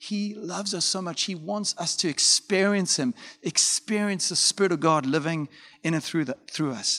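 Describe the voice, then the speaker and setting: Against a quiet background, a man speaks in a bright, sharp tone with a dry, close sound and no echo. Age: 40s. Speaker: pastor. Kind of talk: sermon. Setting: pre-recorded talking to camera.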